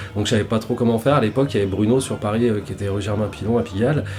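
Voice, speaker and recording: Talking at a very fast pace with fairly even intonation, a man is heard over noticeable background noise. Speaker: tattoo artist. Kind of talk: casual interview. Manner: halting, many repetitions.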